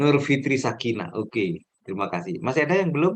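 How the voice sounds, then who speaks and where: A man's voice at a medium pitch with very wide pitch swings. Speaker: trainer for new civil servants. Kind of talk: online training session. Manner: deliberately slow. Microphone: connection dropping out.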